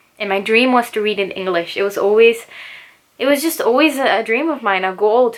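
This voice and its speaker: A woman's fairly high, fairly quick voice with ordinary pitch variation and noticeable background noise. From Chile. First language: Spanish. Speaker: booktuber and English teacher. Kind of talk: casual chat. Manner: relaxed.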